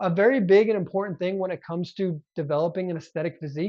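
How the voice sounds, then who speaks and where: A high-pitched man talks at a very fast pace. His tone is animated, with ordinary pitch variation. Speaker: fitness youtuber and coach. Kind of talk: tutorial.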